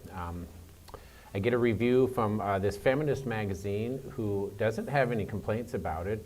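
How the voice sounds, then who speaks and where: The voice has ordinary pitch variation. Audible room echo surrounds it. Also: man. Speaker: professor and author giving a talk. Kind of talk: lecture. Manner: hesitant with many fillers.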